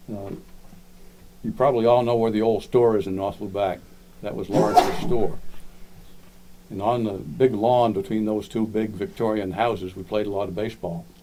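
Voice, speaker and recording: Speaking in a Maine accent, a man uses a fairly low pitch and fairly even intonation. His pace is moderate, with long, frequent pauses. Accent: Downeast Maine. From Maine (Lubec), moved from Florida as small child. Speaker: local historian speaker. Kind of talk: community talk, reminiscence. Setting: library talk with audience.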